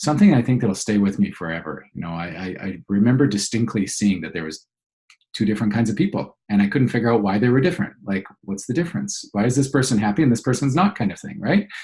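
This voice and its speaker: A somewhat breathy, fairly low male voice with lively intonation. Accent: Canadian. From Canada, Alberta (childhood partly in Venezuela). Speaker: business coach. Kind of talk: interview. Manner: halting, many fillers and repeats.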